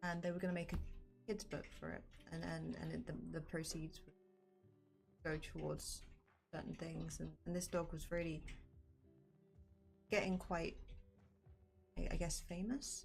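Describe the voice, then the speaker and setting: With music in the background and audible room echo, a woman mumbles in a calm tone, pausing long and often. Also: moderate pace. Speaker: artist streaming while drawing. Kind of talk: casual stream chat. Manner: mumbling.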